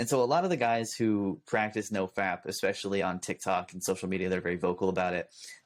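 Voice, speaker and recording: A man with a Californian accent talks at a very fast pace with hardly any pauses, fairly low in pitch with ordinary variation, on a very clean recording with a silent background. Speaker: youtuber. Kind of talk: casual chat.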